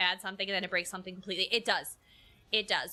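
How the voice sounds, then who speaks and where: A woman with a New York accent speaks at a medium pitch with a bright, sharp tone. The recording is very clean, with a silent background. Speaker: game streamer. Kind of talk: casual chat. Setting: live stream. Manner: halting, repeats words.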